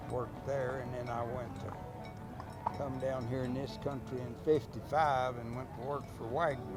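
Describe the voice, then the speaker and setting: Over music in the background and with audible room echo, a man with a West Texas accent speaks at a medium pitch and a fairly slow pace, monotone and flat, with hardly any pauses. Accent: West Texas rural drawl. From Texas Panhandle. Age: 80s+. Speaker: ranch cowboy. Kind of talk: casual interview. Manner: halting.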